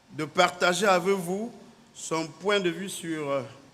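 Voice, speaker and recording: There is audible room echo as a man talks with ordinary pitch variation. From Cameroon. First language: native Cameroonian language (speaking French). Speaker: naval officer. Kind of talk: conference speech. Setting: conference hall. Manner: formal.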